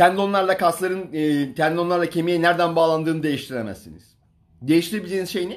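In a quiet background, a man speaks very fast at a high pitch, with ordinary pitch variation and big swings in loudness. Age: 40s. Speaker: fitness coach. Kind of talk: livestream talk. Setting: Instagram live stream. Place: home room. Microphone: phone near.

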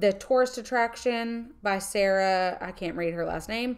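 In a very clean recording with a silent background, a woman with an American accent and a normal speaking voice talks fairly slowly at a fairly high pitch, her intonation fairly even. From northern US. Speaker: podcast co-host and entrepreneur. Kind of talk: casual chat.

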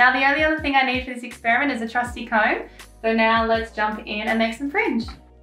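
A woman speaks very fast in a high voice, with faint music in the background. Her voice carries audible room echo. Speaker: craft tutor. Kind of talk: tutorial. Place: home room.

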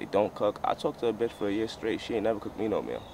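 The recording is of a man with noticeable background noise. The sound is dry, with no echo. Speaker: vlogger. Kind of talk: casual vlog chat. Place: open country.

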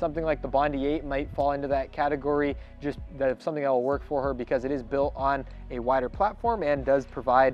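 Talking at a fairly quick pace with fairly even intonation, a man comes across with a dry sound with no echo and faint music in the background. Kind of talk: interview answer. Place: shop.

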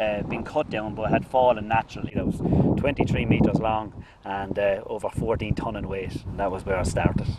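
Loud background noise surrounds a man speaking at a moderate pace, the sound dry with no echo. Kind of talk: interview answer. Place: open country.

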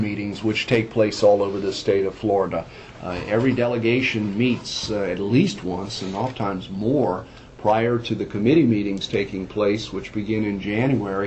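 Against light background noise, a man with a fairly low voice speaks at a moderate pace with fairly even intonation. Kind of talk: meeting report. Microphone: phone line.

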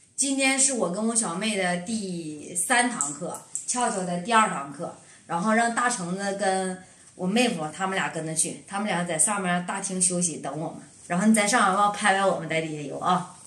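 A woman at a moderate pace, with ordinary pitch variation and audible room echo. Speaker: mother vlogger. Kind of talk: casual vlog chat. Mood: cheerful, laughing. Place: home room.

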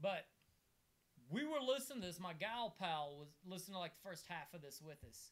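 A man speaks with a high pitch at a moderate pace. His pitch swings very widely. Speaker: comedian and podcast host. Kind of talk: casual chat. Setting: video recording with co-hosts in a room. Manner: animated. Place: home room. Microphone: camera far.

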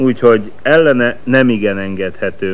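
Recorded with audible room echo, a man speaks at a fairly slow pace with ordinary pitch variation. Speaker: sports commentator. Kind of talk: live commentary.

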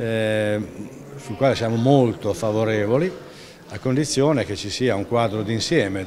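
Over noticeable background noise, a man speaks at a fairly slow pace with ordinary pitch variation. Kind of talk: interview answer. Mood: critical, measured. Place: hall.

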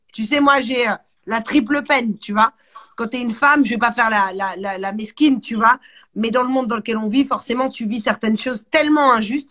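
Against a quiet background, a woman talks at a fairly quick pace with a fairly high pitch, ordinary pitch variation, and an animated, bright, sharp tone. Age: 40s. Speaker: music show host. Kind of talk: casual interview. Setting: home. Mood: relaxed, smiling. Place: home room. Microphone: phone near.

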